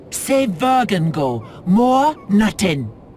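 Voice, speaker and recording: Put-on character voice at a fairly high pitch with very wide pitch swings, over clear background noise. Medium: video game. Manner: broken, simple grammar.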